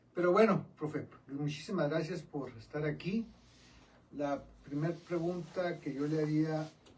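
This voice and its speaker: Noticeable background noise sits behind a man whose fairly high voice moves at a fairly slow pace with fairly even intonation. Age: 60s. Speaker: radio show co-host. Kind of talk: casual interview chat. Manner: informal, joking.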